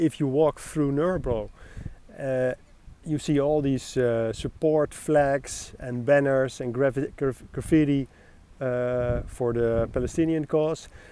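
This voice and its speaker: Fairly high-pitched male voice, dark and mellow in tone, fairly slow, with ordinary pitch variation. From Netherlands, The Hague. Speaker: expat interviewee. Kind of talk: street interview. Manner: hesitant, many fillers.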